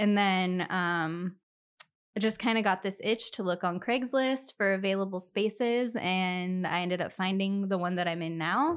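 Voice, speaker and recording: In an American accent, a woman speaks at a fairly slow pace with a medium pitch and ordinary pitch variation. She has a normal speaking voice, and the recording is very clean with a silent background. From US Pacific Northwest, Spokane Valley, Washington. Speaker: esthetician and business owner. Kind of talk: casual interview.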